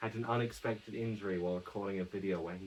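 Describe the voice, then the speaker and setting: Soft-spoken, a man with a very deep, low pitch talks in a fairly even intonation. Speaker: YouTuber. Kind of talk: casual vlog monologue. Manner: quiet, speaking softly; halting, self-correcting.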